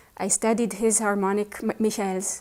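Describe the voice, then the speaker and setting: A woman with an Israeli accent speaks at a moderate pace and medium pitch. Her tone is dark and mellow, her intonation monotone and flat. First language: Hebrew. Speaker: pianist. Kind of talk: interview.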